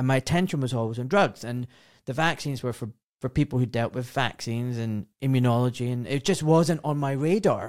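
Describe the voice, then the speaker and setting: A man with a British accent talks at a fairly quick pace in a very clean recording with a silent background, the sound dry and close with no echo. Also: medium pitch for a man, ordinary pitch variation. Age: 40s. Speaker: podcast host, surgeon. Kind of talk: casual chat.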